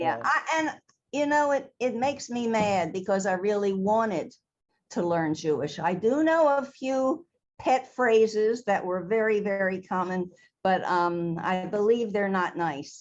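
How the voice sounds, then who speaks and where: Speaking at a fairly slow pace in a Baltimore accent, a woman uses lively intonation at a medium pitch. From Baltimore, Maryland, US. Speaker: theater costume designer. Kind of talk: interview conversation.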